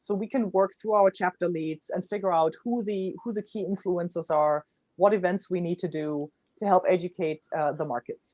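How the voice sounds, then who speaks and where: A woman speaks with a German accent. Her sound is dry and close, with no echo. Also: medium pitch for a woman, ordinary pitch variation, moderate pace. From Germany. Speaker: startup founder. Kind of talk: interview.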